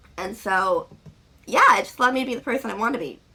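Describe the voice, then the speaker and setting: A woman is speaking. Her pitch sits fairly high. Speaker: vlogger. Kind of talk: casual vlog talk. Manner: fast.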